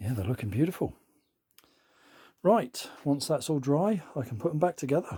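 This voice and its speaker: At a moderate pace, a somewhat breathy voice with a dark, mellow tone swings very widely in pitch between long, frequent pauses. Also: man. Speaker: audio equipment restorer. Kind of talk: workshop tutorial. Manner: casual, hesitant with ums.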